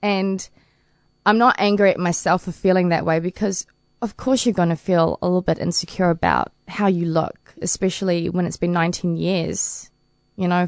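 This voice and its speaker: In a New Zealand accent, a woman with a fairly low pitch talks at a moderate pace in a flat monotone, the sound dry and close with no echo against a quiet background. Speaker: paralympic swimmer. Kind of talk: interview. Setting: studio.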